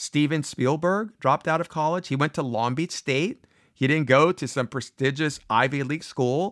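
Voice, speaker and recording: An ordinary speaking voice with lively intonation, dry and close without echo, very cleanly recorded over a silent background. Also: man. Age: 50s. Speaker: podcast host giving advice to students. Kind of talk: solo motivational talk. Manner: casual, conversational.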